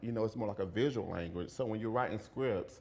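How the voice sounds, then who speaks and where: Audible room echo surrounds a voice with ordinary pitch variation and a Southern accent. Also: man. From US South, rural central Florida. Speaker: video and performance artist. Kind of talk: lecture. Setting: lecture hall with audience. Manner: halting, repeats words.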